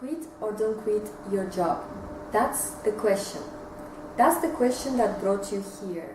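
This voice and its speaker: Woman with a Russian accent, fairly high pitch, lively intonation, very slow pace and long, frequent pauses, over noticeable background noise. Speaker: entrepreneur, vlogger. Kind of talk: casual advice talk to camera. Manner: hesitant, many filler sounds.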